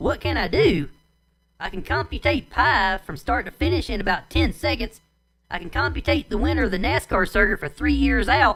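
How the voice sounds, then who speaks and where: This put-on character voice sounds female, raspy and Southern-accented, delivered at a moderate pace. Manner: boastful, listing abilities.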